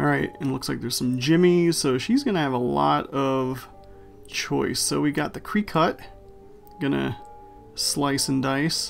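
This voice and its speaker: With music in the background, a man speaks in a playful tone at a fairly slow pace. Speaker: guest voiceover by the crafter's boyfriend. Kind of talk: casual craft video voiceover commentary. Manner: playful, joking.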